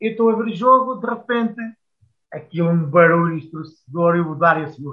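Lively in intonation, a man talks at a moderate pace with a high pitch. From Portugal, Coimbra. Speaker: former footballer. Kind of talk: casual interview.

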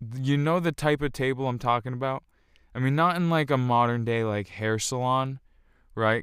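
On a very clean recording with a silent background, a man speaks at a moderate pace in an ordinary speaking voice with fairly even intonation. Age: 20s. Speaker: podcast host. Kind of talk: casual monologue. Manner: filler-heavy, repetitive.

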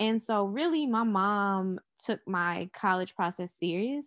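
With an American accent, a woman uses a plain, everyday voice at a medium pitch and lively intonation, the sound dry and close with no echo. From Charlotte, North Carolina. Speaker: media entrepreneur. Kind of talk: podcast interview.

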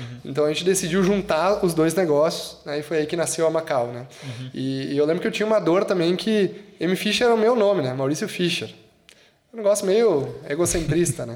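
A high-pitched man at a fairly quick pace, lively intonation amid noticeable background noise. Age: 30s. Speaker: agency director and university professor. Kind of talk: casual interview chat.

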